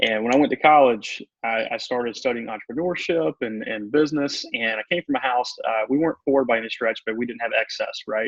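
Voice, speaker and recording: With a Southern US accent, the speaker talks with ordinary pitch variation and hardly any pauses. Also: man, medium pitch for a man. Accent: Southern drawl. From US South. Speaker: motivational speaker and coach. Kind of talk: radio interview. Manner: calm, meditative.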